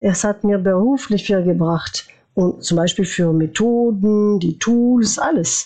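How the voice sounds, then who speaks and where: A woman speaks at a very slow pace, her pitch in the medium range. Her loudness stays very even, with ordinary pitch variation. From France, born in former Yugoslavia. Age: 40s. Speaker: former youth ambassador. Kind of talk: interview. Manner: halting.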